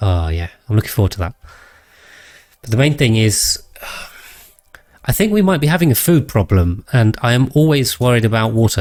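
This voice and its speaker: A man talks fairly quickly at a medium pitch, his voice somewhat breathy. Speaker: streamer. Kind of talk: casual. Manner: calm, relaxing.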